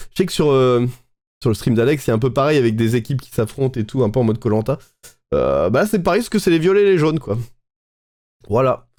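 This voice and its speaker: This man talks at a medium pitch with lively intonation, leaving long, frequent pauses. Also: fairly quick pace. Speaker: Twitch streamer. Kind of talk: live stream reaction commentary. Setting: live stream. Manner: hesitant, many fillers.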